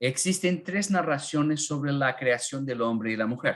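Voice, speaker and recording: Here a man is speaking. His pace is fairly slow. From northern Argentina (Corrientes). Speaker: Bible teacher. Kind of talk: online Bible class. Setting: live online class with chat. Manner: halting, many fillers.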